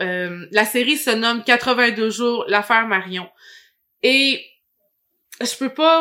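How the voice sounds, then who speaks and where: Speaking at a very slow pace, a woman with a Quebec accent uses a fairly high pitch and a bright, sharp tone. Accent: Québécois French. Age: 30s. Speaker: podcast host. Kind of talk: casual interview; scripted monologue intro.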